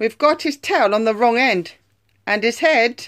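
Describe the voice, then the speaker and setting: Someone performs a put-on character voice at a moderate pace on a very clean recording with a silent background. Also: female-sounding voice, fairly high pitch for a woman. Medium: read story. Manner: eager.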